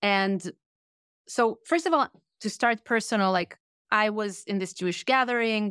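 This speaker has an Israeli accent and talks at a moderate pace with ordinary pitch variation. Long pauses come often. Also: woman, fairly high pitch for a woman. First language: Hebrew. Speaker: author and workshop leader. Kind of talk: interview. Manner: direct.

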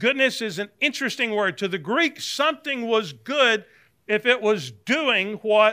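On a very clean recording with a silent background, a man with a Southern US accent uses a raised, projected voice, high in pitch and bright, sharp in tone. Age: 60s. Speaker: Bible teacher, former pastor. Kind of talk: Bible class lecture. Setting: church classroom with live audience. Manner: conversational, with frequent fillers and restarts.

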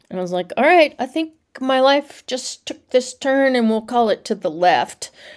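This woman has an American accent and a high pitch. She talks at a moderate pace with lively intonation. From US South (Nashville, Tennessee). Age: 60s. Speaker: avalanche educator. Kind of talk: interview conversation.

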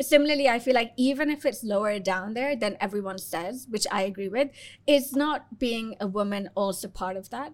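A woman with an unremarkable speaking voice, ordinary pitch variation, and a moderate pace. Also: fairly high pitch for a woman. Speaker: podcast host. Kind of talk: casual interview.

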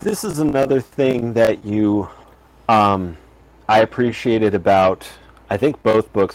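A man with an American accent, fairly low in pitch, at a moderate pace and with ordinary pitch variation. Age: 40s. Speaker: podcast host. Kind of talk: casual chat.

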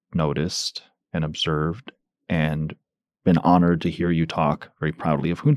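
Very deep, low male speech, dry and close-miked with no echo. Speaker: podcast host and leadership institute founder. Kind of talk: interview.

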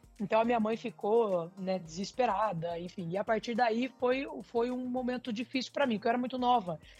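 Over music in the background, a woman talks at a fairly quick pace and a fairly high pitch, with ordinary pitch variation and hardly any pauses. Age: 30s. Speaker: corporate team leader. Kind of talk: interview.

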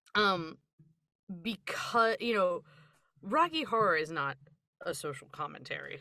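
In a very clean recording with a silent background, a woman with an American accent speaks at a fairly slow pace and medium pitch, her pitch swinging very widely between long, frequent pauses. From US, Philadelphia area. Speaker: podcast co-host. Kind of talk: casual chat.

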